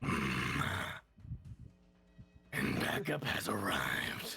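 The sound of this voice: A man performs a put-on character voice. It is rumbling and fairly low in pitch.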